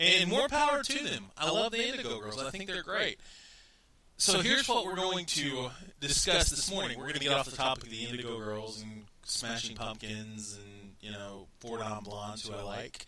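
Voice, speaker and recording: With a Texan accent over noticeable background noise, a man talks at medium pitch and moderate pace, his pitch swinging very widely and his loudness shifting in big swings. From Texas. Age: 30s. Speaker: radio talk show host. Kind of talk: casual talk radio monologue. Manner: rambling with frequent repetitions.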